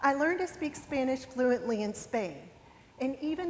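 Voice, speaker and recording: In a West Virginia accent, a woman speaks with a high pitch and lively intonation over noticeable background noise. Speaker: lawyer. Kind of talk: motivational talk. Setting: stage with audience.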